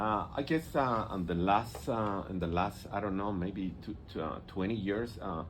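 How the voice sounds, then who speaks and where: A man with a Mexican accent, fairly low in pitch, at a moderate pace with ordinary pitch variation and audible room echo. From Mexico, Yucatan peninsula. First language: Spanish. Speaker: visual artist. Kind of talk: radio interview. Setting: radio studio. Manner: halting. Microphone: too far from the mic.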